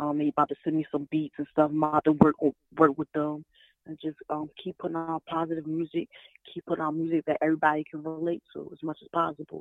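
A woman talks at a very fast pace with a very deep, low pitch. Her intonation stays monotone and flat while her loudness swings widely. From North Philadelphia. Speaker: rapper. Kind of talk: interview answers. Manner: hesitant, many 'um' pauses.

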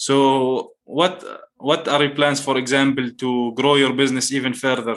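The pace here is moderate. It's an unremarkable speaking voice. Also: man. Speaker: podcast host. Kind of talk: casual interview chat.

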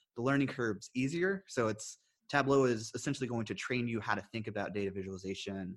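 Talking at a very fast pace, a man with an American accent speaks at a medium pitch. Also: ordinary pitch variation. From US South. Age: 30s. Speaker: podcast host and professor. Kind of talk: casual interview conversation.

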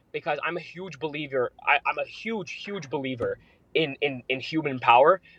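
The speaker has a normal speaking voice. The pace is moderate, with ordinary pitch variation. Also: man, fairly high pitch for a man, dry, close sound with no echo. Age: 20s. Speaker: trading platform founder. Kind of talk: interview.

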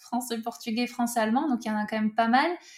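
Noticeable background noise sits behind a woman whose fairly high pitch moves with fairly even intonation. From southwest France. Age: 30s. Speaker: author and football-club language teacher. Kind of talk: interview.

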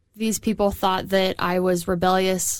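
On a very clean recording with a silent background, a woman speaks in a monotone, flat way. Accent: American. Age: 30s. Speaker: podcast co-host. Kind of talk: casual chat.

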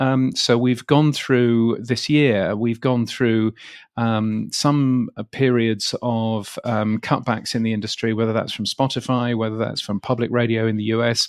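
Against a quiet background, a man with a British accent talks at a fairly slow pace. His medium-pitched voice stays monotone and flat. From England. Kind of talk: interview. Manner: halting.

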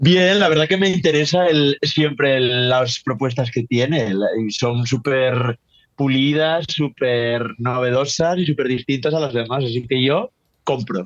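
With an ordinary speaking voice, a man talks at a fairly slow pace and medium pitch, using ordinary pitch variation. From northern Spain. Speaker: drag commentator. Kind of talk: casual chat.

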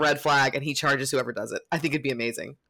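Animated and bright, a woman talks with a sharp tone. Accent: American. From Florida, Lakeland area. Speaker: college football fan correspondent. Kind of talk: casual chat.

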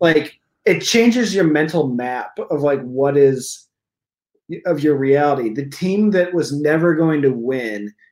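A man with an unremarkable speaking voice talks fairly slowly at a fairly high pitch. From eastern Iowa. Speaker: stand-up comedian. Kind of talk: casual chat.

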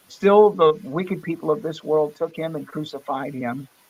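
An ordinary speaking voice from a man with an American accent, fairly high in pitch, at a moderate pace. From Florida, US. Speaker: pastor and studio musician. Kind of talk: casual interview; evangelistic testimony.

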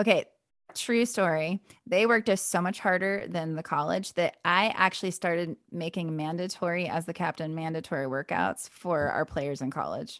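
With an American accent and a normal speaking voice, a woman of fairly low pitch talks at a moderate pace with ordinary pitch variation, the sound dry and close with no echo and the background quiet. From US West (Wyoming). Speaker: podcaster. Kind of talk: casual chat.

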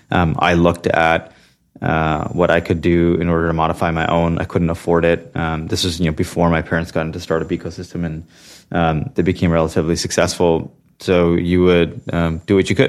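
A man with a Californian accent speaks at a fairly quick pace in a very deep, low pitch. His intonation is monotone and flat. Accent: Californian American. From US West Coast, Santa Clara, California. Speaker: venture capital investor. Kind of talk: interview. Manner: halting with frequent fillers.

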